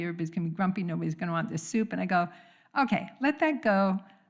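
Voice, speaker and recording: A somewhat breathy woman at medium pitch and a very fast pace, on a very clean recording with a silent background. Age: 70s. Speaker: congregant sharing at a church service. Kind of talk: testimony.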